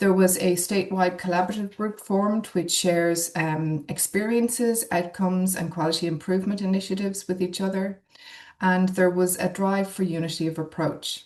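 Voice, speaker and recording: A woman talks with an Irish accent. Her pace is moderate. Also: medium pitch for a woman, fairly even intonation. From Ireland. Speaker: neonatologist. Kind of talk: webinar presentation.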